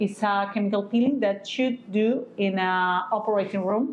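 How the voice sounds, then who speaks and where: A woman talks with a non-native accent at a medium pitch and ordinary pitch variation. Audible room echo surrounds her voice. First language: not English. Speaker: physician teaching aesthetic medicine. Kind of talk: educational lecture. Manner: halting, many fillers.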